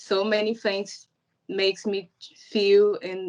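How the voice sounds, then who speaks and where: A woman with a Portuguese accent speaks at a very slow pace. Her pitch is medium. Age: 30s. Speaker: filmmaker. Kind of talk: interview. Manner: halting.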